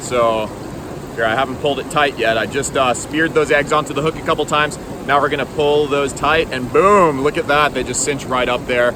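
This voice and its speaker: Noticeable background noise sits under a man speaking at a fairly quick pace with a fairly high pitch and fairly even intonation. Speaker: fishing vlogger. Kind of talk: casual outdoor vlog tutorial. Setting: outdoors by a river. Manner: casual with many fillers.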